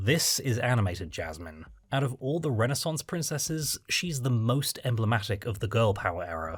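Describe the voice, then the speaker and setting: Somewhat breathy, a man speaks at a moderate pace and medium pitch, his voice making very wide pitch swings. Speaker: film reviewer. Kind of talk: video essay narration.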